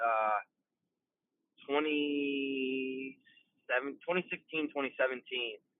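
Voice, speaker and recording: A man is speaking. He has an American accent. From Iowa, US Midwest. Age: 20s. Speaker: rapper and singer. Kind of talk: podcast interview.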